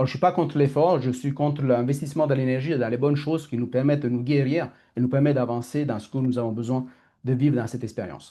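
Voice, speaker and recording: Over a quiet background, a man talks at a fairly quick pace and a medium pitch. His tone is dark and mellow, with fairly even intonation. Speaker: coach. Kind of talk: online masterclass talk. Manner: fast; halting.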